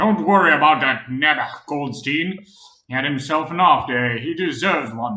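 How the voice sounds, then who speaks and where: Putting on a character voice, a man speaks at a moderate pace in a fairly high pitch with lively intonation and big swings in loudness. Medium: read story. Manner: gruff, blunt.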